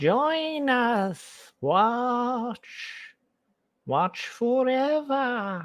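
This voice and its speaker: In a very clean recording with a silent background, someone uses a put-on character voice at a fairly high pitch. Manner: menacing, eerie, drawn-out.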